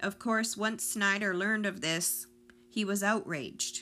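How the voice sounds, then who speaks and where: At a fairly slow pace, a woman speaks in a solemn, bright, sharp tone in a very clean recording with a silent background. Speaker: true-crime podcaster. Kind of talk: true-crime narration. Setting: podcast recording. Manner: measured, solemn storytelling tone; steady, building suspense.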